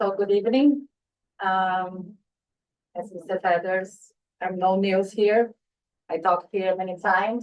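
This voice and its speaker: A woman with a non-native accent speaks at a fairly slow pace, leaving long, frequent pauses. Her intonation stays fairly even. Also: medium pitch for a woman. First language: not English. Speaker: parent speaking at public comment. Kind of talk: public comment at board meeting. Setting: school board meeting.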